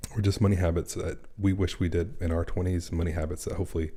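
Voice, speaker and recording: The man's pitch is very deep and low, his tone dark and mellow. He talks at a very fast pace and sounds somewhat breathy. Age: 40s. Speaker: personal finance creator. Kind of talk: casual live stream chat. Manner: speaking quietly.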